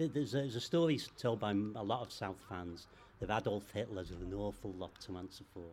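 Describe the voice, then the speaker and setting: With a Liverpool accent, a man speaks at a fairly quick pace in a fairly low pitch, showing ordinary pitch variation. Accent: Scouse. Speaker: football club secretary. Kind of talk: interview. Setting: football ground.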